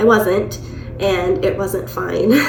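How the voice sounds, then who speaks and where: A woman speaks at medium pitch with very wide pitch swings. Music plays in the background, and there is audible room echo. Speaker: vlogger. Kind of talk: personal storytelling vlog.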